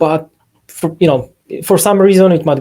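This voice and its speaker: Speaking in a Polish accent, a man uses fairly even intonation and a dark, mellow tone. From Poland. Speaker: software company CEO; presenter. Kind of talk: webinar software demo. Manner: halting, many fillers.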